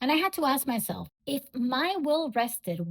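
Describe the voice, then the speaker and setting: A woman speaks with a non-native accent and very wide pitch swings. The recording is very clean with a silent background and a dry, close sound with no echo. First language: not English. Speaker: podcast host, bookkeeper and business coach. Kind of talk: solo podcast monologue.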